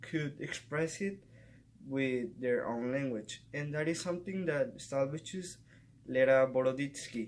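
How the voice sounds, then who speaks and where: The speaker talks in a Spanish accent at a fairly slow pace. Pitch variation is ordinary. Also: man, fairly high pitch for a man. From Mexico. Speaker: student. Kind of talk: class presentation vlog.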